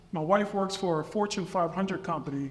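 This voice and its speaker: There is noticeable background noise as a man speaks at a fairly quick pace with an American accent. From US Northeast, Camden, New Jersey. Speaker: state police officer, award recipient. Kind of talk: award acceptance speech.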